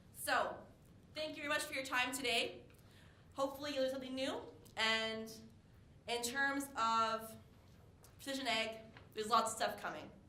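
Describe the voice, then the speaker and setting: In a Canadian accent, a high-voiced woman talks fairly quickly in an animated tone, leaving long, frequent pauses, with audible room echo around her. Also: ordinary pitch variation. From Eastern Canada. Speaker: farm equipment sales rep. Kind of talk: conference presentation. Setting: stage with audience. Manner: fast.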